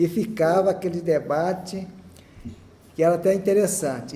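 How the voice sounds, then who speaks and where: With audible room echo, a man speaks at a high pitch with ordinary pitch variation. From Brazil, Rio de Janeiro. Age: 60s. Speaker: church member giving testimony. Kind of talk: testimony. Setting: chapel with audience.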